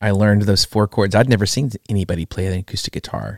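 A man with an American accent speaks in a normal speaking voice, fairly low in pitch, at a fairly quick pace and with fairly even intonation. The recording is very clean with a silent background, and the sound is dry and close with no echo. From US West Coast. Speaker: worship musician. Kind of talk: casual interview.

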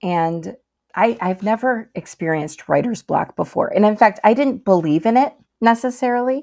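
With an Upper Midwest accent, a woman speaks at a moderate pace in a fairly high pitch, her dark, mellow tone carrying lively intonation on a very clean recording with a silent background. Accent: Upper Midwest American. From Michigan, US. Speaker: novelist. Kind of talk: interview.

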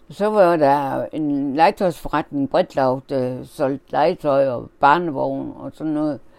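Speaking at a very slow pace with hardly any pauses, a woman has a very deep, low pitch and big swings in loudness. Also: ordinary pitch variation. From Denmark, Horsens (East Jutland). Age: 80s+. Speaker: interviewee recalling childhood. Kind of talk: oral history interview. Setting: at home. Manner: halting.

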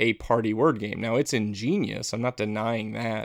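A man's medium-pitched, monotone, flat voice at a moderate pace, in a dry, close sound with no echo. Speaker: board game podcast host. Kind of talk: casual chat. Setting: Skype call.

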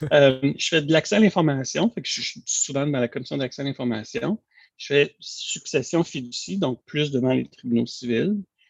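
With lively intonation, this fairly high-pitched man speaks at a moderate pace. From Quebec, east end of Montreal. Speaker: lawyer, bar president candidate. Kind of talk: interview. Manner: halting, many repetitions.

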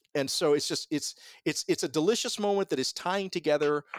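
A man with an American accent in a normal speaking voice, fairly high in pitch with ordinary variation, at a fairly quick pace, dry and close with no echo, in a very clean recording with a silent background. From US South, Columbus, Georgia. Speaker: radio host and professor. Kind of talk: casual interview conversation. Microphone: sounds professional.

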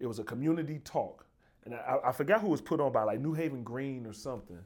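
Here is a man with a Southern US accent and a fairly high pitch. The recording is very clean, and the background is silent. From Birmingham, Alabama. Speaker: podcast host, university dean. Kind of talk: casual interview.

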